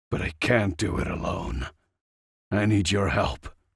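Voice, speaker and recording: A man puts on a character voice that is raspy and fairly low-pitched. He speaks at a moderate pace. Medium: read story. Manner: impassioned, intense.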